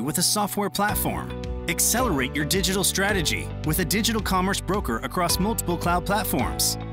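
Over music in the background, a man speaks at a moderate pace with hardly any pauses and very even loudness. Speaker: voice actor. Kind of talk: corporate promo narration. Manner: excited, high energy, dynamic; clear, articulate.

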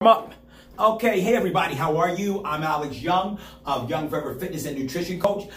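With audible room echo and light background noise, a man speaks at a high pitch. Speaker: fitness coach. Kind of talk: workout class instruction. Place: home room. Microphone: camera far.

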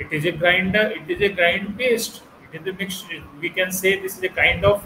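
Light background noise and audible room echo surround a man whose voice sits high in pitch. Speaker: culinary instructor. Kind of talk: lecture. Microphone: webcam.

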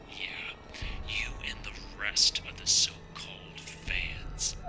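A put-on character voice comes through as a whisper. The pace is very slow. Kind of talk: horror short film dialogue. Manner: menacing, taunting.

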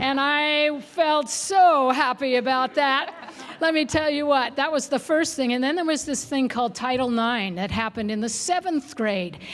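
Over noticeable background noise, a woman with an American accent speaks at a high pitch and moderate pace with ordinary pitch variation. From Oregon, Salem. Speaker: school board candidate. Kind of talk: candidate forum answer.

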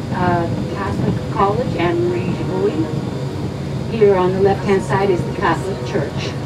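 Loud noise fills the background. Through it, a woman talks fairly slowly. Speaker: local tour guide. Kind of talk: tour guide commentary. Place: bus.

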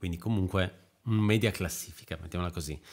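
Here a man talks at a fairly low pitch. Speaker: podcast host. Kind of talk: casual chat. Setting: video call.

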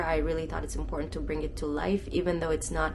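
A woman, with noticeable background noise. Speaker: travel vlogger. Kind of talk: casual vlog chat. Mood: earnest, a little somber. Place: home room. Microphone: phone near.

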